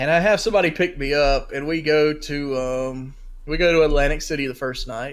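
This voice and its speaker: A man speaks with a Southern US accent. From North Carolina, US South. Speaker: sports podcast co-host. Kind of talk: casual chat. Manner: rambling, halting with fillers.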